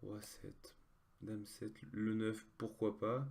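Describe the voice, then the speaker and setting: A man's voice sits at a fairly low pitch with a dark, mellow tone. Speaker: online poker player. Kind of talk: live gameplay commentary. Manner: halting, many fillers.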